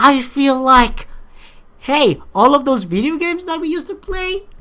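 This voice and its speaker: A woman speaks in an animated tone that is bright and sharp. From Philippines. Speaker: YouTuber, amateur game maker. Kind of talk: response video monologue. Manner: halting.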